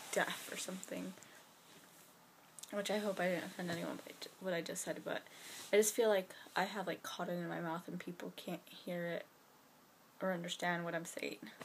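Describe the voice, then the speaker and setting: A woman mumbles at a medium pitch with fairly even intonation. Noticeable background noise is present. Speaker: vlogger. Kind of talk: casual vlog to camera. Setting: bedroom at night. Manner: fast; mumbling.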